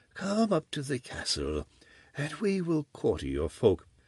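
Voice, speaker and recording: The sound is dry and close with no echo as a man does a put-on character voice at a fairly high pitch and a moderate pace. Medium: read story. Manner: curt, menacing.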